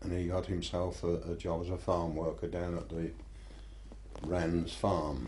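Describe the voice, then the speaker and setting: A man with a rural Buckinghamshire accent speaks fairly slowly in a very deep, dark, mellow voice with vocal fry, and audible room echo surrounds him. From Buckinghamshire, southern England. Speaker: local history interviewee. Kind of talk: oral history interview. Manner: hesitant, with repetitions.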